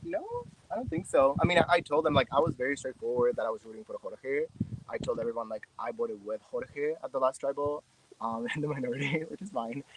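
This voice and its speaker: Amid noticeable background noise, a man with a Spanish accent and fairly high pitch speaks at a fairly quick pace, with very wide pitch swings and big swings in loudness, in a dry, close sound with no echo. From Mexico. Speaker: reality game contestant. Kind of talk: interview answer.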